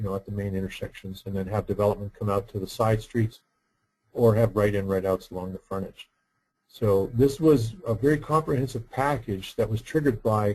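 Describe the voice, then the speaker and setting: A fairly low-pitched man talks at a fairly quick pace, somewhat breathy. His pitch varies in an ordinary way. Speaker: roundabout engineer and workshop presenter. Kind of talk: webinar lecture. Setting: online webinar. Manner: soft-spoken; halting with repetitions.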